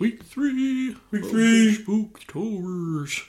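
A put-on character voice is pitched fairly high. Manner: spooky.

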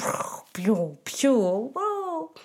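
An animated female voice against clearly audible background noise. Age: 20s. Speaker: podcast host. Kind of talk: casual chat.

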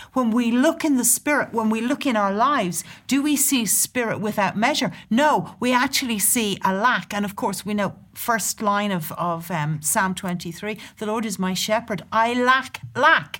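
In a southern Irish accent, a woman talks with hardly any pauses on a very clean recording with a silent background. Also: lively intonation, moderate pace. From Southern Ireland, near Dublin. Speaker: church leader and prophetic speaker. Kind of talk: casual chat about scripture. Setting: studio.

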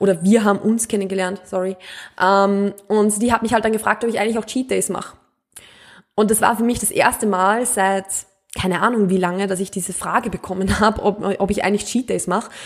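At a fairly quick pace, a woman of medium pitch talks with monotone, flat intonation. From Austria, Mühlviertel (rural Upper Austria). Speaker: podcast host, nutrition coach. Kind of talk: casual podcast monologue.

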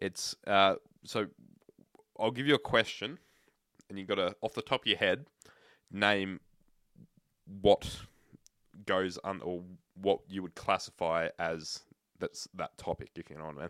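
With an Australian accent and a fairly low pitch, a man speaks at a fairly slow pace in a bright, sharp tone, with ordinary pitch variation, big swings in loudness, and long, frequent pauses, on a very clean recording with a silent background and a dry, close sound with no echo. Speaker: podcast co-host. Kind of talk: casual chat.

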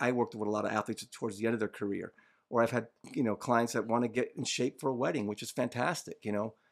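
A man talking very fast at a medium pitch, with fairly even intonation, on a very clean recording with a silent background. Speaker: holistic health coach. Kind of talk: casual chat. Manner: calm.

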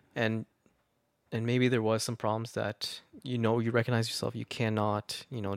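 A man with a Canadian accent, medium pitch and monotone, flat intonation, on a very clean recording with a silent background. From Canada. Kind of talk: casual chat.

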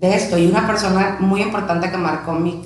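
A woman's fairly low voice at a moderate pace, with audible room echo and noticeable background noise. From Tijuana, Mexico (born in León, Guanajuato). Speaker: podcast co-host, real estate director, former radio presenter. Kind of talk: casual chat.

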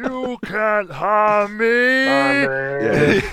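A put-on character voice against clear background noise. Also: man, high pitch for a man.

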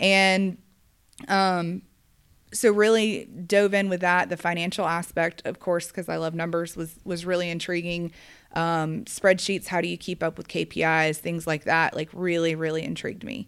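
A woman with an American accent at a fairly low pitch, moderate pace and fairly even intonation, in a very clean recording with a silent background. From US South, Georgia (Gwinnett County). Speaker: construction company operations director. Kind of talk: casual interview. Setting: office.

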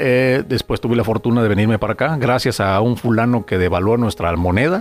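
Music plays behind a man speaking at a fairly quick pace. His pitch varies in an ordinary way. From Mexico, Guadalajara. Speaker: radio announcer. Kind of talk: casual interview.

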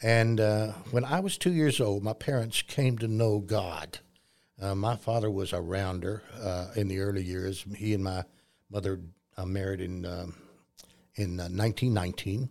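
A man speaks with a West Texas accent. His pitch is fairly low. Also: fairly even intonation, moderate pace. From Texas, near Lubbock. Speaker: Sunday school teacher and Vietnam veteran. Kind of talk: interview. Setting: studio.

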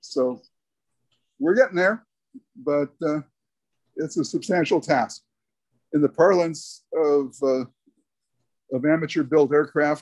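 The background is quiet. A man talks at a fairly high pitch with fairly even intonation. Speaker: retired aerospace engineer. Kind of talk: panel discussion.

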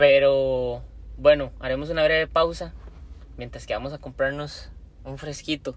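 A man in a Costa Rican accent speaks with big swings in loudness and long, frequent pauses. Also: fairly slow pace. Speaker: podcast co-host. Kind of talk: casual chat.

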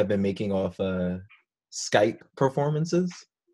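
This speaker has an American accent and very wide swings in pitch. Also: man. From Florida. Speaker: podcast host. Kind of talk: casual chat.

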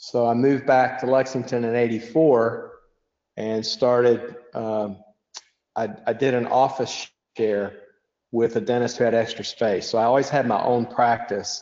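A man with a Kentucky accent talks at a fairly slow pace and medium pitch, his intonation monotone and flat. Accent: Kentucky Southern US. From Western Kentucky, Bowling Green. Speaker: dentist. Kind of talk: podcast interview.

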